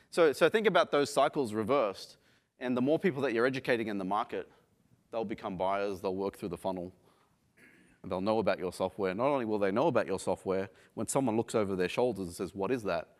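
A man with an Australian accent and a fairly low voice, very fast and lively in intonation, on a very clean recording with a silent background. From Australia, Sydney. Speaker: software company founder and CEO. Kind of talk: conference talk. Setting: stage with audience. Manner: halting, many fillers.

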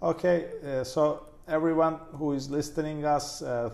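A man speaks with a Turkish accent. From Turkey. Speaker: plastic surgeon. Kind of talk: podcast interview.

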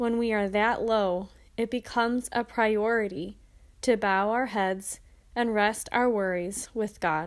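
A woman with an unremarkable speaking voice, fairly high in pitch, with fairly even intonation, very even loudness and a fairly slow pace, on a very clean recording with a silent background. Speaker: prayer podcaster. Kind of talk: fervent prayer. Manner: earnest, supplicating; slow, devout.

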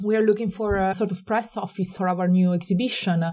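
A woman's dark, mellow voice with an Italian accent, at a very fast pace. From Italy. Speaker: gallery director. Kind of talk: interview. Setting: at home. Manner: fast talker; cheerful, smiling.

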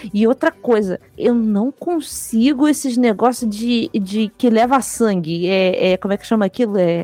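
Against noticeable background noise, a woman speaks at a fairly slow pace and a fairly high pitch, with hardly any pauses. Her intonation is lively, and the sound is dry and close with no echo. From Rio de Janeiro, Brazil. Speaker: podcast co-host. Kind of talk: casual chat.

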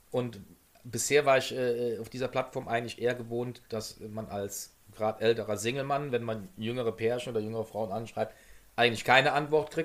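This is an unremarkable speaking voice moving at a moderate pace. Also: man. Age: 50s. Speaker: podcast co-host, former stream moderator. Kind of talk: casual chat.

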